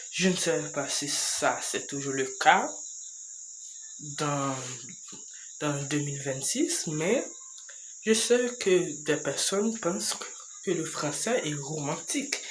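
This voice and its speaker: A man with a fairly high pitch speaks very slowly, with lively intonation and long, frequent pauses. There is audible room echo and noticeable background noise. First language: English (speaking French). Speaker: YouTuber. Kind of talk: casual vlog monologue. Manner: slow, halting.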